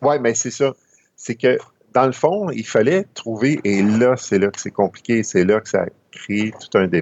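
Speaking fairly slowly, a plain, everyday voice carries lively intonation. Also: man, medium pitch for a man. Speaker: amateur astronomy columnist. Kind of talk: educational chat.

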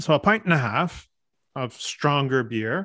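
A man with a Canadian accent and a normal speaking voice speaks in a fairly high pitch with lively intonation on a very clean recording with a silent background. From Canada, French and English Canadian family. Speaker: podcast co-host. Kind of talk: casual chat. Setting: studio with podcast microphones.

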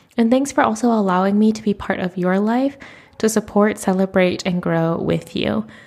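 The speaker has a normal speaking voice and an American accent. The pace is moderate. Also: woman, medium pitch for a woman, ordinary pitch variation. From United States. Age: 30s. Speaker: podcast host. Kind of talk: solo podcast monologue. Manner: casual, chatty.

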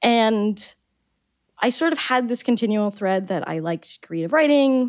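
A woman with an American accent and an ordinary speaking voice talks at a moderate pace with lively intonation, in a dry, close sound with no echo. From US South, Florida (Boca Raton). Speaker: biology researcher and science fiction author. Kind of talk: casual interview chat.

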